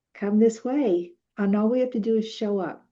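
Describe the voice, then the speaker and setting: A woman with a dark, mellow tone talks at a moderate pace with ordinary pitch variation against a quiet background. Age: 70s. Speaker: author. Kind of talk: interview. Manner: animated.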